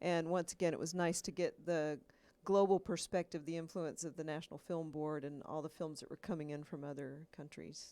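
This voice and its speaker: Speaking in a Georgia accent, a woman has a dark, mellow tone and a fairly low pitch. She keeps a moderate pace with ordinary pitch variation. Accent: Georgia (US Southern). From US South, Georgia. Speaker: animation professor. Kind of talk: panel discussion. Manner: halting, many fillers.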